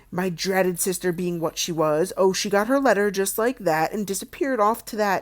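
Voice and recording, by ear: Ordinary pitch variation, from someone reading aloud in a natural voice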